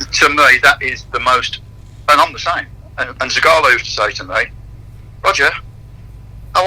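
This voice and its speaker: A man speaks at a fairly quick pace, broken by long, frequent pauses. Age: 60s. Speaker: fitness and conditioning coach. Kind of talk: radio interview.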